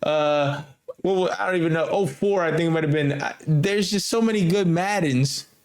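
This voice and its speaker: Amid audible room echo, a man speaks with lively intonation at a moderate pace. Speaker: gaming podcast host. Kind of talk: casual chat. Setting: remote recording.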